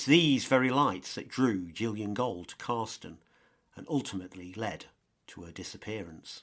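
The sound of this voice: A man's fairly low pitch with ordinary variation, a fairly bright tone, and a moderate pace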